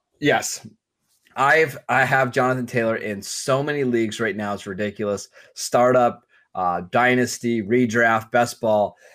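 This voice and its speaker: This man has an ordinary speaking voice at medium pitch, talking at a fairly slow pace with ordinary pitch variation on a very clean recording with a silent background. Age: 30s. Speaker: fantasy football podcast co-host. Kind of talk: casual chat.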